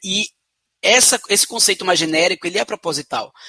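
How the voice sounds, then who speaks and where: In a Pernambuco accent, a man projects a raised, high-pitched voice with a bright, sharp tone and ordinary pitch variation, the sound dry and close with no echo. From Brazil, Pernambuco (Recife). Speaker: social entrepreneur. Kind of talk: interview. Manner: hesitant fillers.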